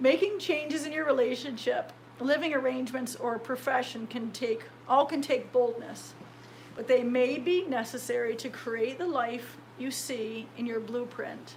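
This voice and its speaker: A woman's high voice in an American accent, with ordinary pitch variation and noticeable background noise. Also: moderate pace. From United States. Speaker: metal sculptor and author. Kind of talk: audiobook read by the author.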